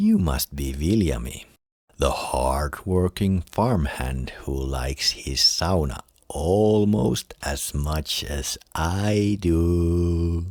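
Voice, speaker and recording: A booming, menacing put-on character voice from a man, very deep and low in pitch, at a very slow pace. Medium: read story.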